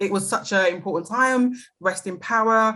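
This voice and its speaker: A woman speaks with a British accent in a bright, sharp tone, her pitch varying in an ordinary way. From London, England. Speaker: anti-racist educator. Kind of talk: podcast interview.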